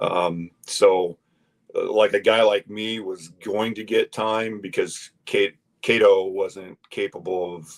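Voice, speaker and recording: A man with a Midwestern US accent at a very slow pace, with big swings in loudness. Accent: US Midwest. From Iowa. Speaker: former college basketball player. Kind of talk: casual chat. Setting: studio. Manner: halting, many fillers.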